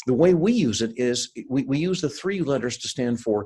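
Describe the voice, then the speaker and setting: A man with an American accent, medium pitch and lively intonation, at a moderate pace. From US, Seattle (born in India). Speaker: sales and leadership consultant, keynote speaker. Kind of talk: interview. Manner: hesitant with fillers and repeats.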